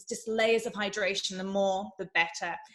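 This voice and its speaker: There is a woman with an English accent. Her pitch is fairly high. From England. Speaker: beauty and fitness presenter. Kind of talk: tutorial presentation. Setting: virtual summit presentation. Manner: fast.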